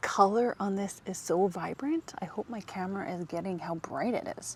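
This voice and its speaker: A woman of medium pitch, with lively intonation at a moderate pace. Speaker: lifestyle vlogger. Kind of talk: casual vlog narration to camera. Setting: outdoors in public gardens. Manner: animated.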